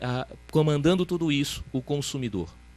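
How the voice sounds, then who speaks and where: A man with a Ceará accent speaks at a moderate pace, his fairly high pitch showing ordinary variation. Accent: Ceará accent, kept. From Ceará, northeastern Brazil. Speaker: panel speaker on financial regulation. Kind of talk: conference talk. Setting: academic event with audience. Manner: hesitant, repeats words.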